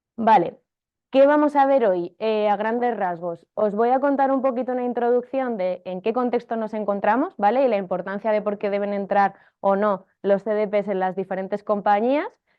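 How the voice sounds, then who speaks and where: The woman speaks at a fairly high pitch with ordinary pitch variation. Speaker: marketing technology consultant and teacher. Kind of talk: workshop lecture. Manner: fast.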